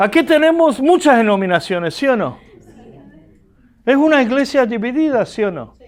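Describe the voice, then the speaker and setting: Speaking at a moderate pace, a man uses an extremely high pitch and lively intonation. He has a slight Argentine accent and takes long, frequent pauses. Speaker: pastor and teacher. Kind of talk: lecture. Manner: animated.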